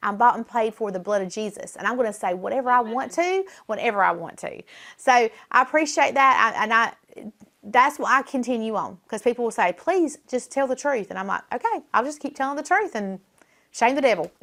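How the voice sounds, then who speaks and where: A high-pitched woman with a Southern US accent speaks at a fairly quick pace in a bright, sharp tone with lively intonation, on a very clean recording with a silent background. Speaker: political talk show host. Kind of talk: casual chat. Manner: animated.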